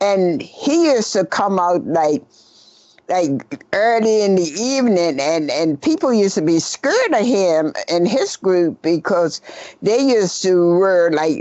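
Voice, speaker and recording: Over noticeable background noise, a woman of medium pitch talks fairly slowly with very wide pitch swings but very even loudness. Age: 80s+. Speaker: costume maker. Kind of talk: interview. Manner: halting.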